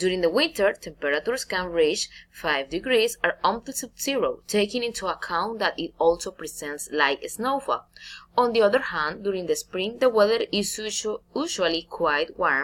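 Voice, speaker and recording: Speaking at a moderate pace, a woman with a Spanish accent makes very wide pitch swings. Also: medium pitch for a woman. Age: 20s. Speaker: navy officer and English student. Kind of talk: recorded class presentation. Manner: halting.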